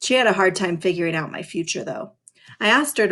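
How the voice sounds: Against a quiet background, this is a natural reading voice.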